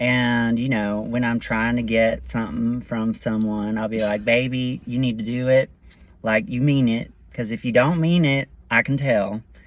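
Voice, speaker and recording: A man with a Southern US accent speaks at medium pitch and a moderate pace with fairly even intonation. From North Carolina. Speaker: podcast co-host. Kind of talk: casual chat.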